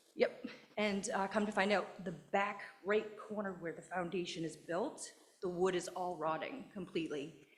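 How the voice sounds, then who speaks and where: Over noticeable background noise, a shaky, nervous-sounding voice speaks with fairly even intonation. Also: woman. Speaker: resident giving public comment. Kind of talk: public comment at a town meeting. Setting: town board meeting. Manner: shaky, nervous voice.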